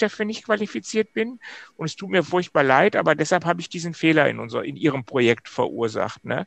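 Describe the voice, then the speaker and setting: In a dry, close sound with no echo, a man with a high pitch talks at a fairly quick pace. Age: 50s. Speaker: systemic coach, former managing director. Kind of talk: casual interview chat.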